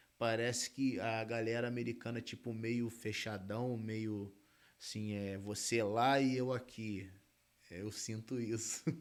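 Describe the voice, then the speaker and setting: Speaking at a fairly slow pace, a man of medium pitch uses a monotone, flat intonation. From Brazil, Rio de Janeiro state (Região dos Lagos). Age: 30s. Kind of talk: interview, casual chat.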